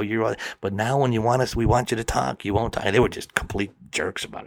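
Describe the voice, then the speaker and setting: A man with an American accent has an unremarkable speaking voice and a medium pitch. He talks at a fairly quick pace with fairly even intonation. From US Midwest, Milwaukee, Wisconsin. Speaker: storyteller, comedian. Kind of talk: storytelling interview.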